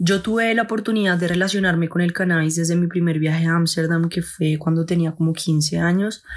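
Against noticeable background noise, a woman with a fairly low pitch talks at a fairly quick pace with hardly any pauses, very even loudness and fairly even intonation. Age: 20s. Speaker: cannabis grower and content creator. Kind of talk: personal testimony.

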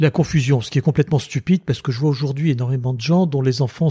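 In a very clean recording with a silent background and a dry, close sound with no echo, a man speaks with a dark, mellow, somewhat breathy tone and ordinary pitch variation. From Tunisia. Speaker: lawyer and former member of parliament. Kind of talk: interview.

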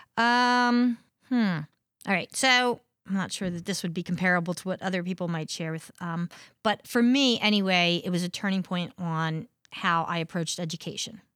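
A woman with an American accent speaks at a moderate pace and a medium pitch, her pitch rising and falling in an ordinary way, on a very clean recording with a silent background. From southern New Jersey, US. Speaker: high school history teacher. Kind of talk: casual interview.

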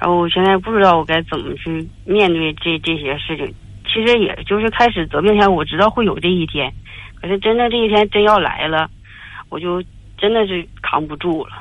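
Her pitch medium, a woman speaks at a fairly quick pace with ordinary pitch variation. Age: 40s. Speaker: caller. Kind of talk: phone-in confession. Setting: phone call. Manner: halting.

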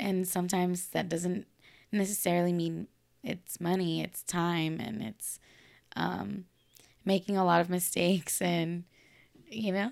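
Speaking at a fairly slow pace with long, frequent pauses, a woman with an American accent has a fairly low pitch and fairly even intonation. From Los Angeles, California. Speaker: model and candy apple maker. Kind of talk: casual chat.

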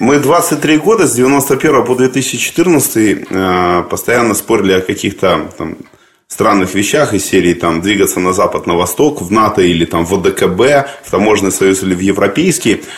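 A man's unremarkable speaking voice, fairly low in pitch, with lively intonation at a moderate pace. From Crimea, Simferopol. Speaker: interviewer. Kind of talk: interview.

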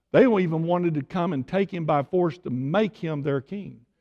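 A man with an East Texas accent, his high-pitched voice dark and mellow, at a moderate pace against a quiet background. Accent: East Texas Southern. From Tyler, Texas. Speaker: visiting preacher. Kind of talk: sermon.

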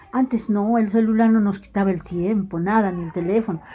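A woman's pitch varies in an ordinary way. Noticeable background noise runs behind her. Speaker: retired teacher. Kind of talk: interview.

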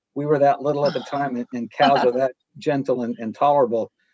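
A man with an American accent has an unremarkable speaking voice at a fairly high pitch and a fairly quick pace. The sound is dry and close, with no echo. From US Northeast, rural northern New Hampshire. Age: 40s. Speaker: artist, former lawyer. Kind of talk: interview.

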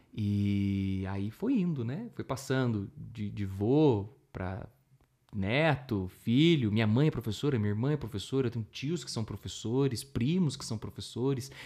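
The voice has a dark, mellow tone and a fairly slow pace. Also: man, medium pitch for a man, ordinary pitch variation. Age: 30s. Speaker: musician and teacher. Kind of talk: interview.

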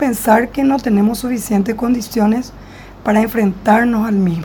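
Against noticeable background noise, a woman speaks at a moderate pace in a fairly high pitch. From Paraguay. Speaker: clinical psychologist. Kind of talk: interview, explanatory. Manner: formal.

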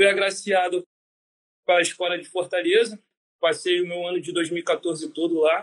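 Long, frequent pauses break up this man's speech at a moderate pace. His voice is high with fairly even intonation. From Brazil, Rio de Janeiro. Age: 20s. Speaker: navy corporal. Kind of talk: interview answers.

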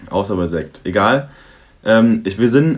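This man has an ordinary speaking voice at medium pitch. His intonation is lively. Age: 20s. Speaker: student. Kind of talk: casual chat.

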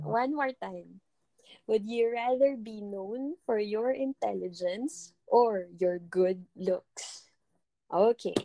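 Dry and close with no echo, a woman speaks very slowly in a fairly high pitch with a dark, mellow tone. Her loudness swings widely while her pitch varies in an ordinary way. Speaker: podcast co-host in a long-distance relationship. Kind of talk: casual chat.

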